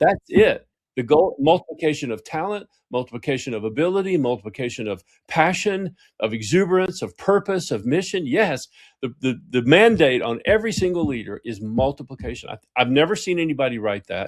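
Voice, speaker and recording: Fairly quick and fairly high in pitch, a man speaks. His pitch swings very widely. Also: very clean recording, silent background. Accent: Southern US. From US South. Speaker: executive coach and author. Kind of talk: interview conversation. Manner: animated.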